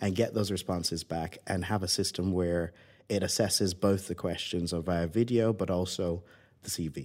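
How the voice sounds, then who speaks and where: A man with a Barbadian accent, at a moderate pace and with ordinary pitch variation. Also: very clean recording, silent background. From Barbados. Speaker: tech founder and former pilot. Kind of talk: interview.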